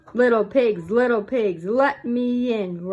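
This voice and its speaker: A female-sounding put-on character voice bellows at a fairly slow pace with a fairly high pitch. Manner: roaring, menacing.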